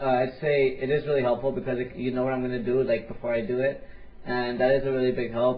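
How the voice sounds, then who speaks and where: A man talks at a medium pitch and a fairly quick pace. Room echo can be heard. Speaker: gaming commentator. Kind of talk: interview. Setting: voice chat call. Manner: fast.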